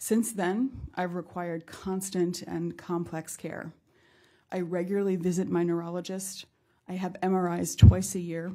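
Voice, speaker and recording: Monotone, flat intonation marks this woman's fairly low pitch and dark, mellow tone as she speaks at a moderate pace. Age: 50s. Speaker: patient advocate. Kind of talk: testimony. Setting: congressional forum with audience. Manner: formal.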